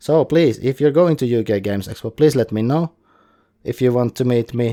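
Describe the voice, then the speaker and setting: A man with a dark, mellow tone speaks at a moderate pace in a dry, close sound with no echo. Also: medium pitch for a man, ordinary pitch variation, very clean recording, silent background. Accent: Finnish. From Finland. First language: Finnish. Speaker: podcast host. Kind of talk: solo podcast monologue. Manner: casual, somewhat halting.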